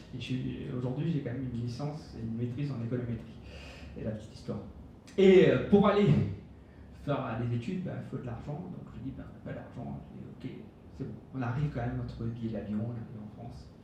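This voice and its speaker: Amid noticeable background noise and audible room echo, a man talks at a fairly quick pace with lively intonation. His loudness swings widely, and he takes long, frequent pauses. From Mauritius. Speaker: business speaker. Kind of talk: conference talk. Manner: casual, hesitant with many fillers.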